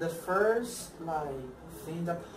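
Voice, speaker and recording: Very slow speech in a Spanish accent, with noticeable background noise. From Colombia. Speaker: former exchange student. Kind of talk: interview. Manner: halting.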